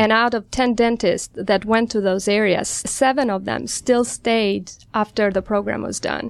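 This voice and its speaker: A woman talks at a moderate pace in an ordinary speaking voice, with medium pitch and fairly even intonation. The recording is very clean, and the background is silent. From outside the US. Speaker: general dentist. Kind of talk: radio interview. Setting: studio.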